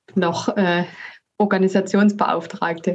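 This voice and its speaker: A monotone, flat delivery at a very slow pace. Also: woman. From Saxony, Dresden. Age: 30s. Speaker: sports association inclusion manager. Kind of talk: casual interview. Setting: video call.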